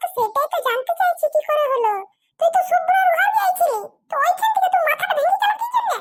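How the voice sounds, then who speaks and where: A cartoonish character voice, extremely high-pitched, at a fairly quick pace. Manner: blunt, scolding.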